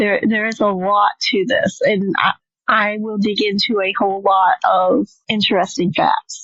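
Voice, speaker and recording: This is a normal speaking voice. It moves at a fairly slow pace with ordinary pitch variation. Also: woman, fairly high pitch for a woman. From Michigan. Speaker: podcast co-host. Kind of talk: casual chat.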